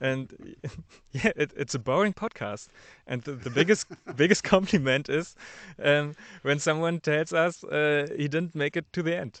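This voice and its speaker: A man with a German accent, fairly high-pitched, at a moderate pace with ordinary pitch variation, in a dry, close sound with no echo. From Germany. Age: 30s. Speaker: podcast producer. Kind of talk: interview. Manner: halting.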